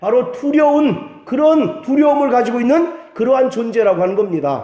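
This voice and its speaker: Over noticeable background noise and audible room echo, a man with an extremely high pitch speaks at a fairly slow pace with lively intonation. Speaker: pastor. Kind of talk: sermon.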